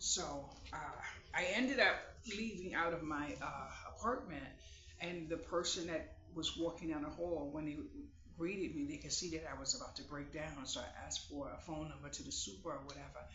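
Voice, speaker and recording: A man's fairly brisk speech carries audible room reverberation and a noticeable layer of background noise. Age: 50s. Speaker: vlogger. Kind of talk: casual chat. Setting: at home, sitting on bed. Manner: halting.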